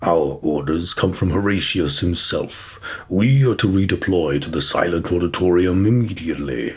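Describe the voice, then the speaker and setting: Putting on a character voice, the man pitches it very deep and low and keeps a moderate pace. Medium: read story. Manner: formal, grave.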